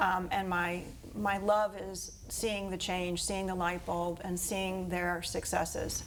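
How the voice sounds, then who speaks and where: In an American accent, a woman speaks with monotone, flat intonation, and room echo can be heard. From Florida, Fort Pierce. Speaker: school principal. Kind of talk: interview.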